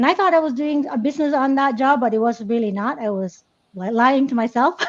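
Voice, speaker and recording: High female voice at a fairly quick pace. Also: lively intonation. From Philippines. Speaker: nurse and business coach. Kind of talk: interview. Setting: live stream.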